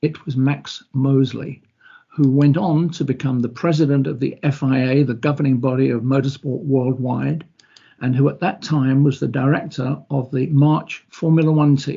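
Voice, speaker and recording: A man's fairly high, somewhat breathy voice with fairly even intonation at a moderate pace. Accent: British. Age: 70s. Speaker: former racing driver and motorsport sponsorship executive. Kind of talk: online presentation. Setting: online video presentation.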